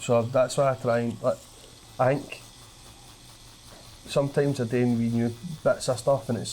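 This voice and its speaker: With a strong Glaswegian accent, a man of medium pitch speaks at a moderate pace. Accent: thick Glaswegian. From Scotland, Glasgow. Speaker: comedian. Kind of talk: casual chat.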